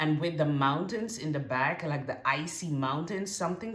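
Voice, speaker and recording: With audible room echo, a woman with a very deep, low pitch speaks at a moderate pace with lively intonation. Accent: non-native. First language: not English. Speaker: tarot reader. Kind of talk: tarot reading to camera. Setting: on camera, card shown far from camera. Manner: halting, many fillers and restarts.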